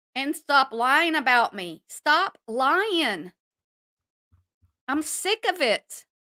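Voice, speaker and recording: A woman speaks very slowly in a high, bright, sharp voice, raised and projected, with very wide pitch swings. Long, frequent pauses break her speech, and the sound is dry and close with no echo. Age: 60s. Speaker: YouTube commentary streamer. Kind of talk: live stream rant. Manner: animated.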